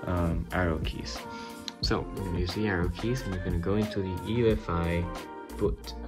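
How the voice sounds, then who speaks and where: A man talks at a fairly quick pace while clear music plays in the background. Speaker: tech tutorial maker. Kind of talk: tutorial. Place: home room. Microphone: phone near.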